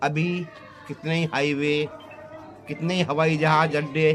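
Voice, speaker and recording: With music in the background, a man talks at a fairly high pitch, leaving long, frequent pauses. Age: 60s. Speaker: farmer. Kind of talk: interview. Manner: animated.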